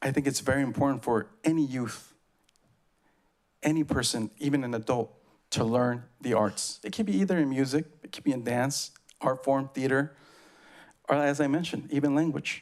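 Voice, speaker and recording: A man with an Oaxacan accent, leaving long, frequent pauses. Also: medium pitch for a man, ordinary pitch variation, moderate pace. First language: Zapotec. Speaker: public commenter, community arts organization member. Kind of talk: public comment at meeting. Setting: public meeting podium.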